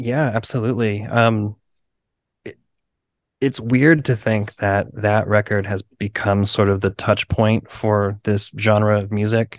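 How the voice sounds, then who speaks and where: A man talks in a normal speaking voice, fairly low-pitched, fairly slow and with fairly even intonation. The sound is dry and close with no echo, over a quiet background. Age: 40s. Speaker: punk band drummer. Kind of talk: casual interview chat.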